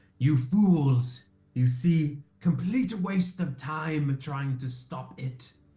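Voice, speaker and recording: Cackling in a put-on character voice, a man drags his words out at a very slow pace, pitched fairly high. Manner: cackling, sneering.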